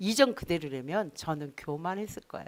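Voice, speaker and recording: A very clean recording of a woman's voice, the background silent. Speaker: pastor. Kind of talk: sermon.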